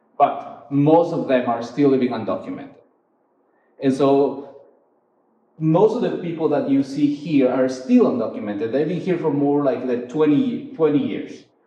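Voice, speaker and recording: With lively intonation, a man speaks at a fairly high pitch. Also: moderate pace. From Ecuador. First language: Spanish. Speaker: photographer. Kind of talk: artist talk. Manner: halting, many fillers.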